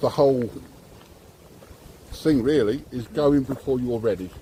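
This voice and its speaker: Noticeable background noise behind a man speaking in an English accent. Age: 60s. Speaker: driving instructor. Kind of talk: casual chat. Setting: selfie stick video.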